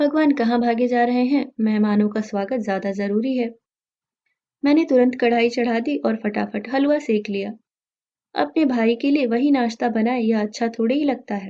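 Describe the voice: At a moderate pace, a woman speaks with a fairly high pitch, a dark, mellow tone, and ordinary pitch variation.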